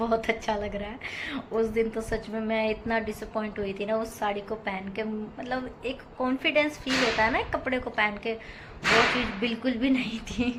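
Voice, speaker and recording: A woman speaks with a fairly high pitch in flat, monotone intonation. Audible room echo and noticeable background noise are present. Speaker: housewife vlogger. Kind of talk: vlog voice-over narration. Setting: home, voice-over recorded at 5 am. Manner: casual, chatty.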